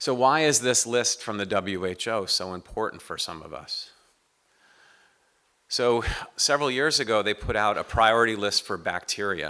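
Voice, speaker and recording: A man with an American accent speaks in a bright, sharp tone at medium pitch, with ordinary pitch variation and long, frequent pauses. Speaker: professor of medicine, infectious disease specialist. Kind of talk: lecture. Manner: fast.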